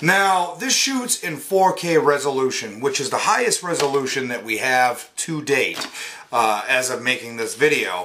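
Light background noise under a man's very wide pitch swings. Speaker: product reviewer. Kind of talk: casual unboxing review. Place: home room. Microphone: phone near.

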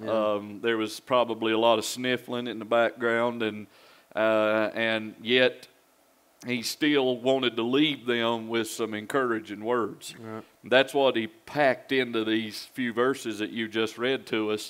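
Speaking at a fairly slow pace, a man keeps a monotone, flat intonation. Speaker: pastor. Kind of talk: Bible study discussion. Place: church. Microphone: headset.

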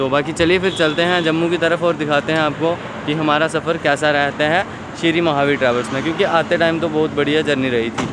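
Despite noticeable background noise, the voice keeps a very even loudness, a moderate pace and fairly even intonation, with a dry sound and no echo. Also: man. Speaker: travel vlogger. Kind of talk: casual vlog chat. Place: street. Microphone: phone near.

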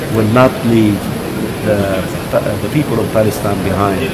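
A man is talking at a moderate pace. Loud noise fills the background. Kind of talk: interview answer. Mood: earnest, serious. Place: hall. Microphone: handheld.

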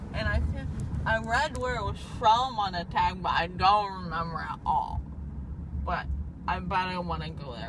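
Noticeable background noise accompanies speech delivered at a moderate speed. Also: woman. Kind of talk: slurred drowsy rambling chat. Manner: groggy, slurred, drowsy anesthesia speech. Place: car. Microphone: phone near.

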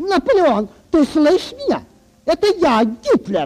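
A put-on character voice with a high pitch. It moves at a moderate pace with very wide pitch swings.

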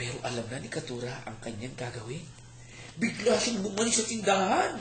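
With noticeable background noise behind him, a man talks in very wide pitch swings. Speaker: storyteller. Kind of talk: bedtime story telling, folktale retold aloud to a child and family. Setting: home, family audience, dim room. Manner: gentle, expressive storyteller, slows for emphasis, voices characters' lines.

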